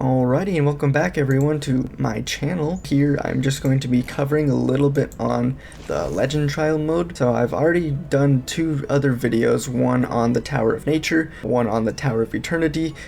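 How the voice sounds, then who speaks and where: There is noticeable background noise as a man speaks at a moderate pace. His voice sits fairly high, with ordinary pitch variation. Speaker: gaming guide creator. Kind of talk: game guide commentary. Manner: rambling.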